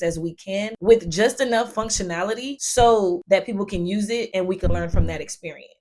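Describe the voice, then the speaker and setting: Her intonation fairly even, a woman speaks. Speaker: project manager and tech content creator. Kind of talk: educational explainer video. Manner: fast.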